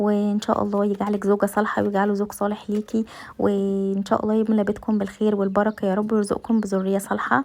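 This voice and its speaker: A woman speaks in monotone, flat intonation at a very even loudness. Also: medium pitch for a woman. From Egypt. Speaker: home vlogger, mother. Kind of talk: casual cooking vlog talk to camera. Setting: home kitchen. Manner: hesitant, many fillers.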